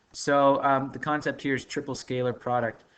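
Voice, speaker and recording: This man has a plain, everyday voice. His pitch sits in the middle range. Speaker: math teacher. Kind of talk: recorded lesson. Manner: casual, filler-heavy.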